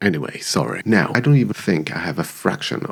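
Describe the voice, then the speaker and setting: Through noticeable background noise comes a voice with a non-native accent and very wide pitch swings. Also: man. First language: not English. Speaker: YouTuber, commentary creator. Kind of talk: personal video essay. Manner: reflective.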